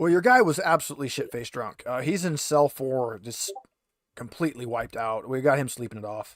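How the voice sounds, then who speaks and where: A man puts on a raspy character voice at a medium pitch, speaking at a fairly quick pace. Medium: actual play. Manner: casual, offhand.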